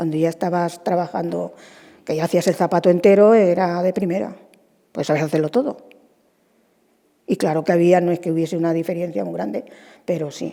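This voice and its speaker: With vocal fry and a dark, mellow tone, the speech runs at a fairly quick pace with ordinary pitch variation and long, frequent pauses. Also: woman, fairly low pitch for a woman. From Spain, Almansa (Albacete, La Mancha). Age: 70s. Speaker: retired shoe stitcher. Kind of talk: interview.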